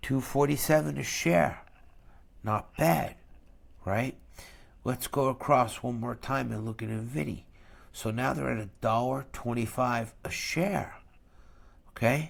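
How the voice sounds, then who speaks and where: In a very clean recording with a silent background, a man with a New York accent speaks slowly with vocal fry and lively intonation, leaving long, frequent pauses. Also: medium pitch for a man. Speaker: finance YouTuber, dividend investor. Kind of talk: investment review monologue. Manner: deliberately slow; blunt, conversational.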